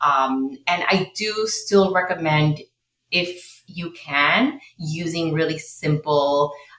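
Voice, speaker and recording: At a very slow pace, a woman with a Spanish accent speaks at a fairly low pitch with ordinary pitch variation. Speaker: low-tox living consultant and educator. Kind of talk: interview, podcast conversation.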